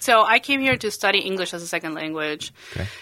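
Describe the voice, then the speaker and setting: A woman with a Spanish accent speaks very fast at a medium pitch, her tone bright and sharp. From Bolivia. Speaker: realtor. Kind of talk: casual chat.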